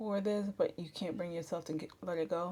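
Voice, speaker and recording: A soft-spoken woman with a fairly low pitch talks at a moderate pace with ordinary pitch variation. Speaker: makeup artist. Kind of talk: tutorial. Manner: casual, chatty.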